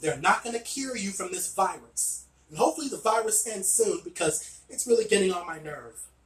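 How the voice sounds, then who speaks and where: Lively intonation with music in the background. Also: man. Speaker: wrestling video reviewer. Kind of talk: casual video review monologue.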